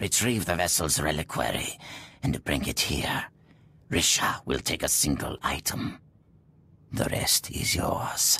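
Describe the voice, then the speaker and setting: A man puts on a character voice, very deep and low, speaking at a fairly slow pace with long, frequent pauses. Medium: video game. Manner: cold, commanding.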